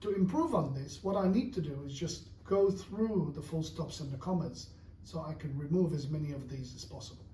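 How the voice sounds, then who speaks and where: A man with a high pitch speaks at a moderate pace with ordinary pitch variation. Audible room echo surrounds his voice. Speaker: English teacher. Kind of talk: tutorial.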